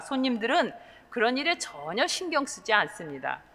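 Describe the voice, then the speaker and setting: Amid noticeable background noise, a woman with a high-pitched voice speaks at a moderate pace. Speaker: pastor. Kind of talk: sermon.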